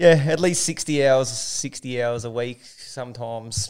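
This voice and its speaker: In an Australian accent, a man talks with intonation that stays fairly even. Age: 30s. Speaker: business owner. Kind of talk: casual chat.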